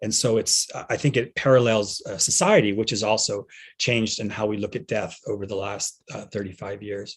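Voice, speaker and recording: Speaking at a moderate pace, this somewhat breathy voice holds a fairly even intonation. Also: man, fairly low pitch for a man. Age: 60s. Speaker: veterinarian and pet end-of-life doula. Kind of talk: conference talk. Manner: halting, many fillers and repeats.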